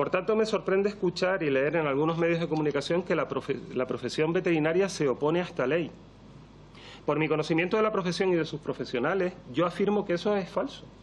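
A man talks very fast in a high pitch with ordinary pitch variation. His loudness stays very even over light background noise. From Canary Islands, Spain. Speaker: veterinarian and toxicology professor; toxicology professor. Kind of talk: parliamentary testimony. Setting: parliament committee hearing. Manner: formal. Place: meeting room. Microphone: podium.

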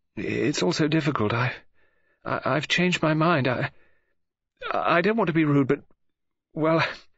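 With a put-on character voice, a man speaks at a fairly slow pace in a fairly high pitch, his fairly bright tone carrying vocal fry, a slightly husky edge and ordinary pitch variation.

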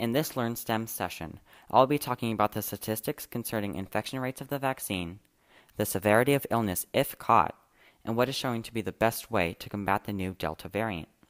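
With a quiet background behind him, a man speaks rather quickly, his pitch varying in an ordinary way. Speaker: student podcast host. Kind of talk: podcast narration.

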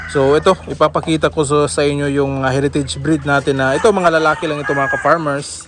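A man's fairly high voice at a very fast pace, fairly even in intonation, with hardly any pauses. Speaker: farmer vlogger. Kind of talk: casual vlog tour. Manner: casual, with frequent fillers.

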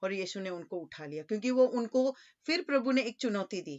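A woman's fairly high voice against a quiet background. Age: 40s. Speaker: preacher. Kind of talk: sermon. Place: home room. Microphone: webcam.

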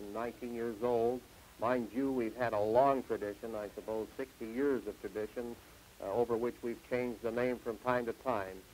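A man's flat, monotone voice at medium pitch, with light background noise. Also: moderate pace. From Canada, Saskatchewan. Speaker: farm union leader and grain farmer. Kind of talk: TV interview. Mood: earnest, measured. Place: studio. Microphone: lapel.

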